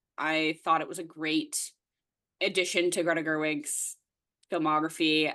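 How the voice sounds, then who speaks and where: A bright, sharp voice with a Canadian accent. The intonation stays flat and monotone over a quiet background. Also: woman. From Nova Scotia, eastern Canada. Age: 20s. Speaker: podcast co-host. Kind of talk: casual chat.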